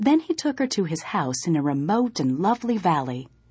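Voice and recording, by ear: A passage is read aloud in a natural voice.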